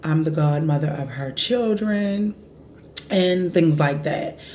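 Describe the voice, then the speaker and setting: A woman's very deep, low voice at a moderate pace, over light background noise. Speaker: vlogger. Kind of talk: casual vlog chat. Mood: relaxed, amused storytelling. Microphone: phone near.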